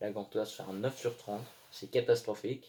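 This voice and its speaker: This man's voice sits fairly low in pitch and moves at a moderate pace. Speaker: football commentator youtuber. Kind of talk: monologue video commentary.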